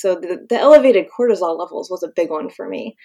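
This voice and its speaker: At a fairly quick pace, a woman with an American accent speaks in an ordinary speaking voice at medium pitch with ordinary pitch variation. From Pennsylvania, US. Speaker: professional mermaid and conservation educator. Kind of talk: casual interview.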